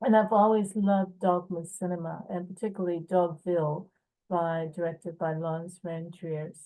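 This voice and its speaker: A woman's fairly low, dark, mellow voice with fairly even intonation at a moderate pace. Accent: American. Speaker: film producer and writer. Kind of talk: festival video message. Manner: hesitant, many fillers.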